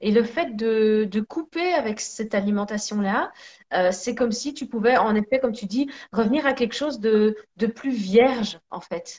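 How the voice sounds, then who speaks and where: A woman speaks at a fairly slow pace, her voice somewhat breathy. Her pitch varies in an ordinary way. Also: fairly high pitch for a woman. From Belgium, Sicilian parents. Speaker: energy therapist and singer. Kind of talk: casual chat. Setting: live video stream.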